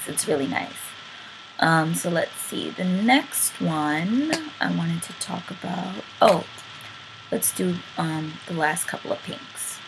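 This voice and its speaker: A woman at a very slow pace, with big swings in loudness and noticeable background noise. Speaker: beauty vlogger. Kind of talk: casual talk to camera.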